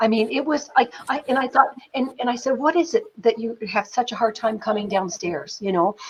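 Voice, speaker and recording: With a Canadian accent, a somewhat breathy woman talks at a fairly quick pace and fairly high pitch in an animated tone with lively intonation. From Canada, northern New Brunswick. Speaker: film producer. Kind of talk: interview storytelling. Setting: live stream interview.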